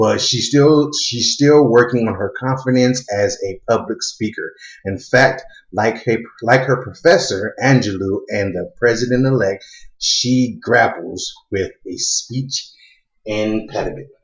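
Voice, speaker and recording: A man speaks at a medium pitch and a fairly slow pace. His voice is somewhat breathy, with ordinary pitch variation. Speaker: YouTube commentator. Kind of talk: casual vlog talk; reading and commenting on an article. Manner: halting, many fillers.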